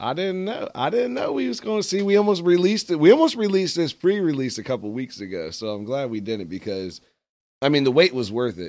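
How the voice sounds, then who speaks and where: With a fairly high pitch, a man talks very fast, his pitch swinging very widely and his loudness rising and falling in big swings. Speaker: radio host. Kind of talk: casual radio interview. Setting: studio.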